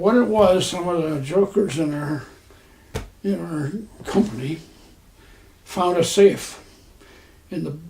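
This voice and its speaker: A man's high-pitched voice with an American accent, ordinary pitch variation, and noticeable background noise. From Texas. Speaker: war veteran. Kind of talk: interview answer.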